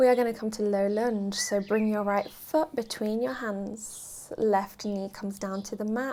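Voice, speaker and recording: This speaker has a British accent and a dark, mellow tone, calm and fairly even in intonation. The pace is fairly slow. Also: woman. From UK. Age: 20s. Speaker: yoga teacher. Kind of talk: guided yoga class instruction. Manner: calm, steady pace.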